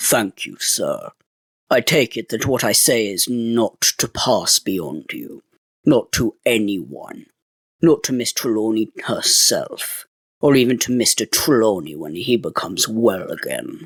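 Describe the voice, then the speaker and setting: A man speaks in a put-on character voice at a medium pitch. His pace is fairly slow, and the sound is dry and close with no echo. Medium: read story. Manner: respectful, measured, earnest.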